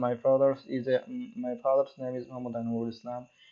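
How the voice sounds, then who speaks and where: This man has a medium pitch. His tone is dark and mellow. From Bangladesh, Kushtia. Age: 20s. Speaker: student and tutorial youtuber. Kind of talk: tutorial. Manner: halting.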